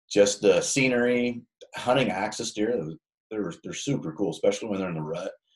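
At a fairly quick pace, a man with a normal speaking voice talks in a fairly low pitch, with ordinary pitch variation and big swings in loudness. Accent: American. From Nebraska, small town. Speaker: hunting podcast host. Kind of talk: casual chat.

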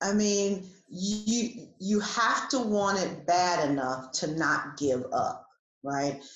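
A woman's medium-pitched voice with an American accent and lively intonation, with audible room echo. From New Jersey. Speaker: executive coach. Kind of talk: interview.

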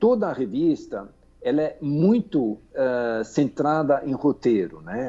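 Over music in the background, a man with a fairly high pitch speaks at a very slow pace, his pitch swinging very widely. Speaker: magazine editor. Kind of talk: interview. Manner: halting, many fillers and repetitions.

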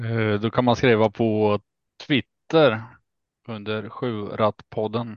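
At a very slow pace, a man speaks at medium pitch with monotone, flat intonation. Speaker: harness racing podcast panelist. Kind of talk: casual chat.

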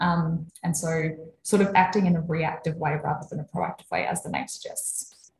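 A woman's fairly low, somewhat breathy voice at a moderate pace, with fairly even intonation. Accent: Australian. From South Australia, Adelaide. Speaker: sleep and fatigue researcher. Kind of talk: casual interview about research.

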